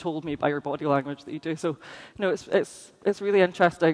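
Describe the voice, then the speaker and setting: The speech comes at a very fast pace with a Scottish accent. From Scotland. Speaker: conference speaker. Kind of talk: conference talk.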